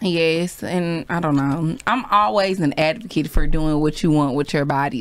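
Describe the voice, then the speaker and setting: The speaker is a woman with a fairly low pitch. There is noticeable background noise. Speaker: podcast co-host. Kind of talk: casual chat.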